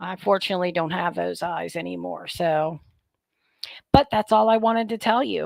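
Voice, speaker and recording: Here a woman uses a plain, everyday voice, pitched fairly low and moving at a moderate pace. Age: 50s. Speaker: product reviewer, vlogger. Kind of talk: casual vlog talk to viewers. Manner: chatty, informal.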